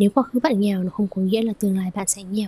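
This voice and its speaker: This woman is soft-spoken and somewhat breathy, with a dark, mellow tone. The sound is dry and close, with no echo. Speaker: yoga teacher and podcast host. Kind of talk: solo podcast monologue.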